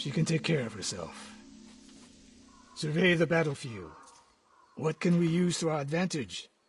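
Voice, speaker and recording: Using a raspy, put-on character voice with a fairly high pitch, a man talks at a moderate pace with lively intonation and long, frequent pauses while music plays in the background. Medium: video game. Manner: terse, dry, commanding.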